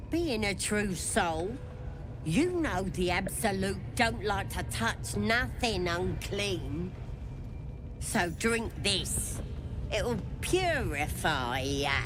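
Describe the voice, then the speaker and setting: A put-on character voice speaks at a very slow pace with long, frequent pauses. Loud background noise runs underneath. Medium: video game. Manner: coarse, mocking.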